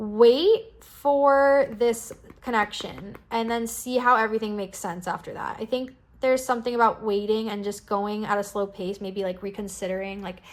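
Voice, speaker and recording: There is noticeable background noise. A woman speaks at a fairly high pitch and a moderate pace with fairly even intonation. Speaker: tarot card reader. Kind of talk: pick-a-card tarot reading. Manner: casual, filler-heavy.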